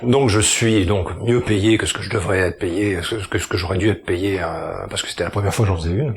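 Over noticeable background noise, a fairly low-pitched man speaks at a fairly quick pace with fairly even intonation. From southern France, Toulon. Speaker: actor and singer. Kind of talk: casual chat.

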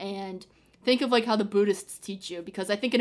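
A woman with an unremarkable speaking voice talks at a fairly quick pace, her pitch medium with ordinary pitch variation. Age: 20s. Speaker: student and aspiring TV producer. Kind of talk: casual chat. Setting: remote call.

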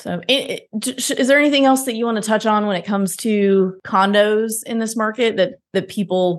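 In an ordinary speaking voice, a woman talks at a moderate pace and fairly high pitch with ordinary pitch variation against a quiet background. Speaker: podcast host and real estate investor. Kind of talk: casual interview.

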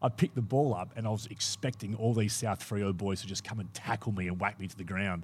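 A man with an Australian accent talks at a very fast pace with hardly any pauses and a somewhat breathy voice. The recording is very clean, with a silent background. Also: fairly low pitch for a man. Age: 40s. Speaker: former footballer. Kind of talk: casual chat. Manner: animated.

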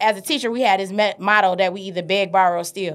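The recording is very clean, with a silent background. The speaker has an American accent and fairly even intonation. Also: woman. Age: 30s. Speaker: teacher and entrepreneur. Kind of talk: casual interview chat. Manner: loud.

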